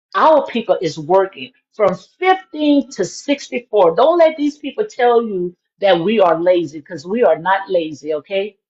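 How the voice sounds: Using lively intonation, a woman speaks at a fairly slow pace in a medium pitch, her tone slightly mellow with a slightly husky edge.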